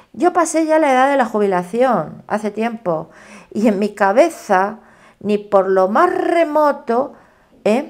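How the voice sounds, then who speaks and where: At a very slow pace, a woman speaks in a fairly high pitch that swings very widely. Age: old. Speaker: tarot reader. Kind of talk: tarot reading monologue.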